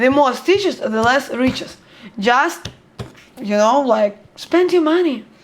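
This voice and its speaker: At a fairly slow pace, a woman with a Russian accent speaks at a high pitch with lively intonation. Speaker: book blogger. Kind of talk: book review vlog. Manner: halting.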